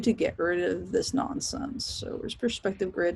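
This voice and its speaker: A woman with a normal speaking voice talks at a moderate pace and a medium pitch. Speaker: professor teaching design software. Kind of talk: recorded class tutorial. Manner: casual, chatty.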